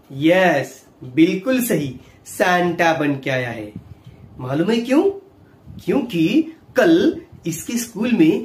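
Speech from a man comes at a very slow pace. There is audible room echo. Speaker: ventriloquist children's host. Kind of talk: children's show talk.

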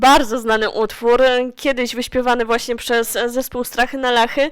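A woman's high-pitched voice at a moderate pace. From Silesia, Poland. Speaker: radio host. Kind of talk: radio interview.

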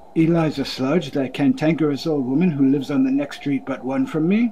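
Putting on a gruff character voice at a fairly high pitch, a man talks at a fairly quick pace over clear background noise. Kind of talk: Victorian stage English. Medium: comedy sketch. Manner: gruff, curt, sneering.

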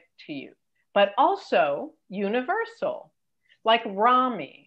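A woman with a General American accent, at a fairly slow pace against a quiet background. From Los Angeles. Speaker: entertainment career coach and TV executive; entertainment career coach. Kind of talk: interview. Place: home room. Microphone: video call.

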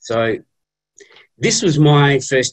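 Against a quiet background, a man speaks in a somewhat breathy voice. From Western Australia, Geraldton area. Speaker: data analyst. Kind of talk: presentation. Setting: video call. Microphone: video call.

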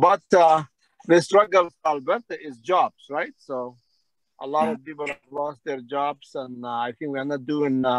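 Using an ordinary speaking voice, a man with a fairly high pitch talks at a fairly slow pace with ordinary pitch variation and big swings in loudness, in a dry sound with no echo. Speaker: community leader. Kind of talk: Q&A session. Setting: video call. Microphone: video call.

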